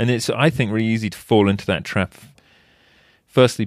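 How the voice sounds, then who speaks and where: A man with an English accent talks at a very fast pace, his fairly low pitch showing ordinary variation. The recording is very clean and silent behind him, dry and close with no echo. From England. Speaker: wildlife photojournalist. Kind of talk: casual interview.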